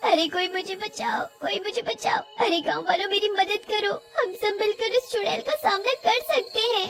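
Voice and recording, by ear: A woman puts on a character voice with an extremely high pitch and a fairly bright tone. She has vocal fry, ordinary pitch variation and a moderate pace.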